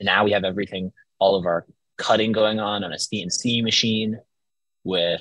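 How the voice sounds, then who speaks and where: This man talks at a moderate pace in a fairly low pitch, his tone bright and sharp and his intonation fairly even. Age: 20s. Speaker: business owner and entrepreneur. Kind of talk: casual interview.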